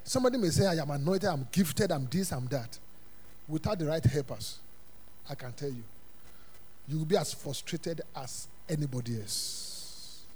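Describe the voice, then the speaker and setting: In an animated tone, a man speaks with a fairly high pitch and a somewhat breathy voice. Long, frequent pauses break up his speech, and room echo is audible. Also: moderate pace. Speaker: pastor. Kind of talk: Sunday sermon, call-and-response Bible teaching to a congregation. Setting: church service with congregation. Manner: animated, rhetorical questions left for the congregation to fill in; emphatic repetition of punchlines, chuckling between phrases.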